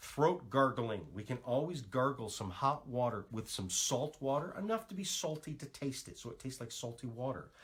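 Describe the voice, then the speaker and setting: An animated, somewhat breathy voice with lively intonation runs on with hardly any pauses and big swings in loudness. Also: man, medium pitch for a man. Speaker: natural health practitioner. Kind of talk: live stream talk. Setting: Facebook live stream. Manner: fast.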